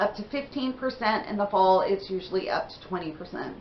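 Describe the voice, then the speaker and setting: A woman speaking at a moderate pace. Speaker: beauty vlogger. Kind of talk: casual haul video talk. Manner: chatty, conversational.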